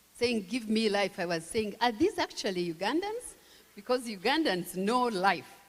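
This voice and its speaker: Noticeable background noise is present throughout. A woman talks at a moderate pace with a fairly high pitch. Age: 60s. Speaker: tourism official. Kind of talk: speech.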